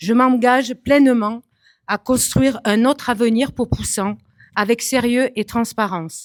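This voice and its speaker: A woman's unremarkable speaking voice, fairly high in pitch and fairly slow, with fairly even intonation, very even loudness, and a dry, close sound with no echo on a very clean recording with a silent background. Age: 40s. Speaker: municipal election candidate. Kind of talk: prepared self-introduction speech. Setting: public meeting hall with audience.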